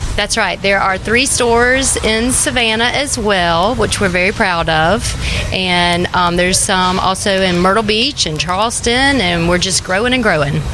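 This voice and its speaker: With a Georgia accent, a woman speaks at a moderate pace with hardly any pauses, very even loudness and ordinary pitch variation, amid noticeable background noise and audible room echo. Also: medium pitch for a woman. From US South, Georgia. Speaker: candy shop owner. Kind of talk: casual interview. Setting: inside a shop.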